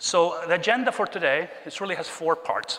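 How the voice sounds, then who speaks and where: Lively intonation from a man amid noticeable background noise. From Chile. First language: Spanish. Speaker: keynote speaker, tech executive. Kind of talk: keynote talk. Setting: stage with audience.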